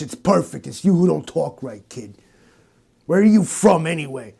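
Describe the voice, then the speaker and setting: A man puts on a gravelly character voice at a fairly high pitch. He keeps a moderate pace on a very clean recording with a silent background. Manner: salty, world-weary.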